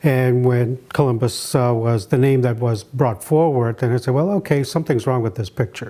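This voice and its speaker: Over a very clean recording with a silent background, a man with a New Brunswick accent speaks at a fairly quick pace, his medium-pitched voice dark and mellow in tone with ordinary pitch variation. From Maliseet reservation, eastern Canada/Maine. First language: Maliseet. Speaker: anthropologist and artist. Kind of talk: interview. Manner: reflective, many fillers.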